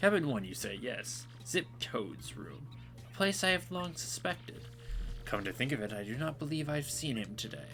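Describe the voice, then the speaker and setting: A man, in a put-on character voice pitched at a medium level, talks at a moderate pace while clear background noise plays. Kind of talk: comic overacting. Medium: solo performance. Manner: pompous, formal.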